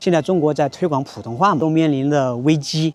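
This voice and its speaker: A man's plain, everyday voice, fairly high in pitch, at a moderate pace against a quiet background. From rural county town in China. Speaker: Mandarin teacher vlogger. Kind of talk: casual talk to camera.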